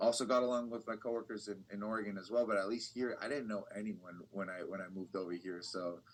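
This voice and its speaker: Very rapid delivery with barely any breaks and a fairly level intonation. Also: man, fairly low pitch for a man. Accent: Californian. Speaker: bilingual TV reporter. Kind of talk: casual interview.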